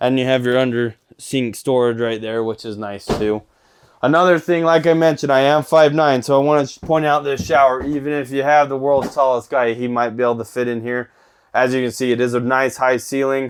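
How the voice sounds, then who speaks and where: With a normal speaking voice at a medium pitch, the man talks at a fairly quick pace. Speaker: RV salesperson giving a tour. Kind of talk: product walkthrough tour. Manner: casual, upbeat.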